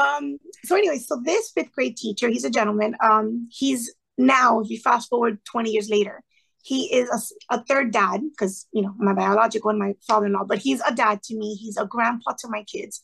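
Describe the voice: A woman speaks at a fairly quick pace with a fairly high pitch and ordinary pitch variation. Her fairly bright tone is raspy, with vocal fry and a slightly husky edge.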